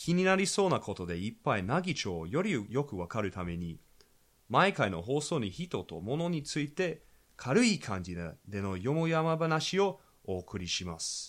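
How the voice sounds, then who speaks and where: On a very clean recording with a silent background, a man with an Australian accent makes very wide pitch swings. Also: medium pitch for a man, moderate pace. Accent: Australian accent in Japanese. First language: English (speaking Japanese). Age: young. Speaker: podcast host. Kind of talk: casual chat. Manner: halting.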